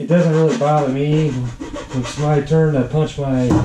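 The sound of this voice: A man at a fairly slow pace, slightly mellow in tone, with audible room echo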